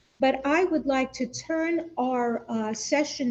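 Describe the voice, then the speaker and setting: This woman has a high pitch and a dark, mellow tone. She talks very slowly in a New York accent. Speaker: panel moderator. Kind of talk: formal panel discussion.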